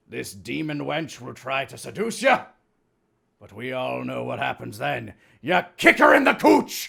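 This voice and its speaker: This man puts on a gravelly character voice. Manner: instructive, gruff lecturing.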